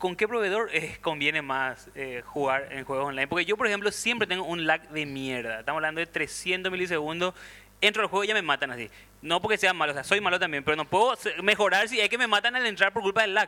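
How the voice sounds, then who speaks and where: A man with a high voice and lively intonation speaks at a very fast pace, with a dry, close sound and no echo. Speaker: podcast panelist. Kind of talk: casual chat.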